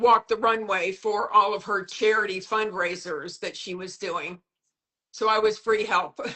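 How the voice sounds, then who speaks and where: In a plain, everyday voice, a woman with a fairly high pitch speaks at a fairly slow pace, her intonation fairly even but her loudness swinging widely. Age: 60s. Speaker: modeling agent and mentor. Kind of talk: casual chat. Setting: Instagram live video call.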